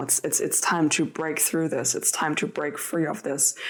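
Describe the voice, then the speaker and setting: Fairly even intonation comes through in a non-native accent, with noticeable background noise. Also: woman. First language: not English. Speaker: tarot reader. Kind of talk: tarot reading. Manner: halting.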